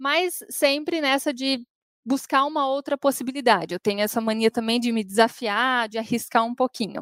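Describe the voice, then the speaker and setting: Recorded very cleanly with a silent background and a dry, close sound with no echo, a woman speaks at a high pitch and a moderate pace with ordinary pitch variation. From São Paulo, Brazil. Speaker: university tutor and radio presenter. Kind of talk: interview.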